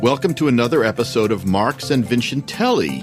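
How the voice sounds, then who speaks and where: Music sits in the background as a man talks at a moderate pace. His pitch swings very widely. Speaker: theater critic. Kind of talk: podcast host talk.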